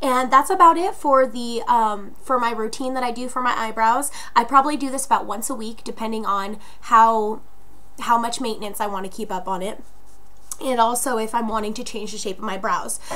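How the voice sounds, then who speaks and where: This woman talks at a fairly quick pace with a fairly high pitch and ordinary pitch variation. The room echo is audible. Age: 20s. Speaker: beauty vlogger. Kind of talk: tutorial. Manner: casual, many filler words.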